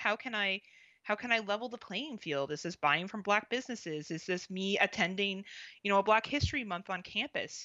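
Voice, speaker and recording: A woman speaks in an unremarkable speaking voice at a medium pitch. Her intonation is lively and her pace moderate. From Canada. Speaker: podcast host. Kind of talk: casual chat.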